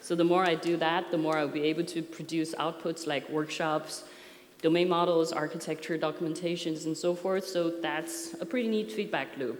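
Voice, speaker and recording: Over noticeable background noise and audible room echo, a woman with a non-native accent talks at a moderate pace and a fairly low pitch with fairly even intonation. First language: not English. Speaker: software architecture consultant. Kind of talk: conference talk. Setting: stage with audience. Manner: hesitant, many fillers.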